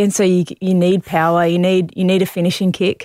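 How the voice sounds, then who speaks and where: A fairly quick pace in a dry, close sound with no echo, on a very clean recording with a silent background. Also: woman. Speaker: Olympic distance runner. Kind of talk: casual interview.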